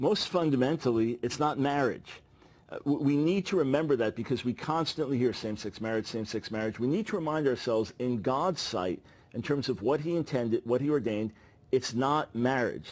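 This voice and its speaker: Here is a man with an unremarkable speaking voice, ordinary pitch variation and a fairly quick pace. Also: medium pitch for a man. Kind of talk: interview answer.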